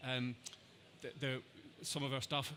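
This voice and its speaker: A man with an Irish accent speaks in a bright, sharp tone. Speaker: NHS trust digital health lead. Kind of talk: conference Q&A. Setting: conference stage with audience, headset mic. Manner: repetitive false starts.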